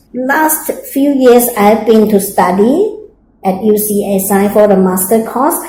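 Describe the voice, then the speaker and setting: A woman talks at a fairly slow pace, her pitch fairly high with ordinary variation. Audible room echo surrounds her voice. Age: 60s. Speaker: interviewee, mature student. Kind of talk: interview. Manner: hesitant with fillers.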